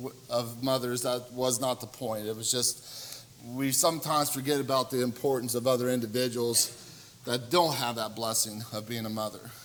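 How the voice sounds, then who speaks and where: Audible room echo and noticeable background noise fill this recording of a man. His pitch sits in the medium range, and his intonation stays fairly even. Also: moderate pace. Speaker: preacher. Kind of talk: sermon. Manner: loud.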